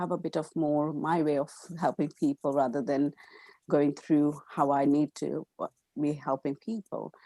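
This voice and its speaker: A woman with an Indian accent has a very deep, low pitch and a dark, mellow tone. The recording is very clean and dry, close with no echo, over a silent background. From India, Gujarat. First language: Gujarati. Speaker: counselor. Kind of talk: interview. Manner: halting, many fillers.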